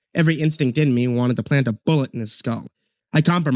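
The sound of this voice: Quiet background behind an unforced reading voice and ordinary pitch variation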